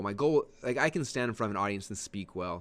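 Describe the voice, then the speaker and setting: A man's fairly low voice at a very fast pace against a quiet background. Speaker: online marketing trainer. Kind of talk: webinar training. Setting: webinar. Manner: fast, says um a lot; slurred words.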